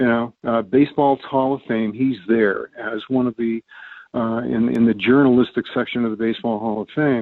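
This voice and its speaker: At a moderate pace, the speaker talks in an American accent with monotone, flat intonation. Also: man, medium pitch for a man. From US West Coast, San Francisco Bay Area. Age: 80s+. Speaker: retired English professor. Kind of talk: casual interview chat. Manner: halting, many fillers and restarts.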